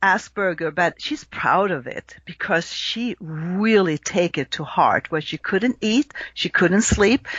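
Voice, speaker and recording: A woman's medium-pitched voice with a slight Swedish accent, lively intonation and a very slow pace. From Sweden. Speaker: astrologer. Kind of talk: podcast interview.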